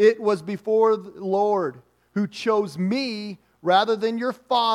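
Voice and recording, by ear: Someone reads aloud in a natural voice with fairly even intonation.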